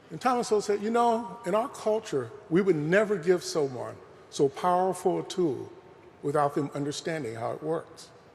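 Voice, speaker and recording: A high-pitched man with lively intonation, at a moderate pace. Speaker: professor. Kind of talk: lecture. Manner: soft-spoken.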